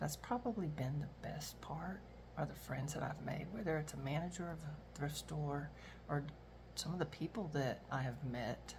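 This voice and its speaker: A woman talks at a moderate pace. There is audible echo from the room. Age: 60s. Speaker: retiree and reseller vlogger. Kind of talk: casual monologue vlog. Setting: at home, kitchen. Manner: rambling, many fillers.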